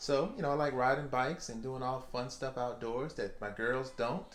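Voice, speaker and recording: Moderate pace from a man at medium pitch with a Southern US accent. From Louisiana, US South. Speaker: office worker, husband. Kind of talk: casual chat.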